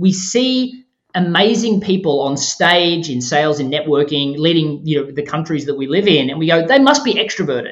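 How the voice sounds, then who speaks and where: This man has an Australian accent and a high pitch. He talks at a fairly quick pace with lively intonation. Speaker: author and podcast host. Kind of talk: interview.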